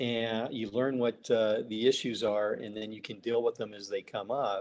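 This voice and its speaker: With fairly even intonation and a fairly slow pace, a man speaks in a normal speaking voice. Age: 60s. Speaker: business consultant. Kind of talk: interview.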